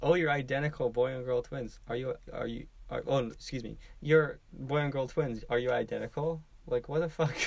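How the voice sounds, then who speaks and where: A man with a plain, everyday voice, fairly high pitch, fairly even intonation, and a moderate pace. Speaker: podcast co-host. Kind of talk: casual chat.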